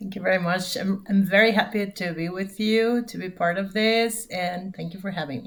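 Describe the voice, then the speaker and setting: Speaking in a Spanish accent, a woman talks at a moderate pace with hardly any pauses, fairly even intonation, a somewhat breathy voice and big swings in loudness. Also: medium pitch for a woman. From Mexico. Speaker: corporate security manager. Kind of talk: interview. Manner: halting.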